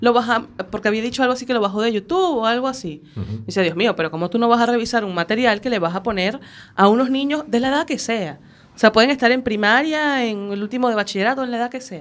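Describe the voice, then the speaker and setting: The speaker talks at a very fast pace in a Venezuelan accent. The intonation is lively. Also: woman, fairly high pitch for a woman. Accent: Venezuelan, noticeable. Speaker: radio panelist. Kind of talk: casual chat.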